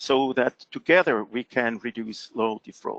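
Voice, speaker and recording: At a moderate pace, a man with a non-native accent speaks at a medium pitch in a dry, close sound with no echo. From Switzerland. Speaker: fraud prevention expert presenter. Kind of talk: presentation. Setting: webinar call.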